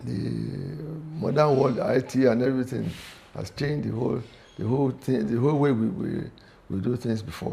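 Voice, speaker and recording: A man's medium-pitched, dark and mellow voice with vocal fry, lively intonation and a moderate pace. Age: 70s. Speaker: sports club veteran member and former golf captain. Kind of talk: interview. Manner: halting, with frequent repetitions.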